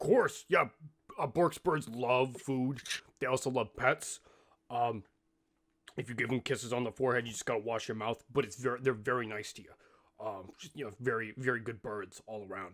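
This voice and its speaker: A man puts on a raspy character voice at medium pitch. He leaves long, frequent pauses. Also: moderate pace. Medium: actual play. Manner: refers to himself in third person, rambling.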